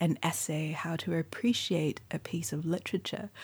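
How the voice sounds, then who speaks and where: In a Mandarin accent, a woman with a fairly low pitch, ordinary pitch variation, a dark, mellow tone and a somewhat breathy quality speaks at a fairly slow pace on a very clean recording with a silent background. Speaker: poet and writer. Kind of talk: interview. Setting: bookshop.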